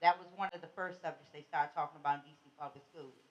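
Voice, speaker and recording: This woman talks at a fairly quick pace with an American accent. Her pitch rises and falls in an ordinary way. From Washington DC. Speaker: community advocate. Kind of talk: panel talk. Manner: loud.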